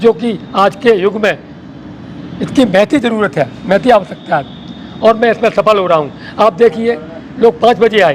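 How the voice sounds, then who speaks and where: A high-pitched male voice with ordinary pitch variation, over noticeable background noise. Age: 60s. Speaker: wellness group organizer. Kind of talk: interview. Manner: emphatic.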